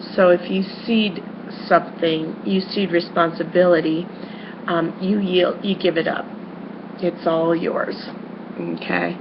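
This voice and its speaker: A loud woman speaks at a very slow pace with a fairly low pitch and monotone, flat intonation, amid noticeable background noise and audible room echo. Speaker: schoolteacher. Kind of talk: lecture. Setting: webcam recording. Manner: halting, many fillers.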